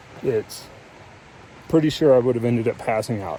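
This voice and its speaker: Over noticeable background noise, a man at medium pitch talks at a fairly quick pace. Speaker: hiking vlogger. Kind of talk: vlog monologue. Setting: outdoors on a mountain trail. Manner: halting.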